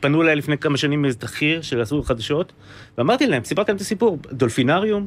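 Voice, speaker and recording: Intonation is lively, and the pace is fairly quick. It is a plain, everyday voice. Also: man. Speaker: musician and band leader. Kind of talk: casual chat.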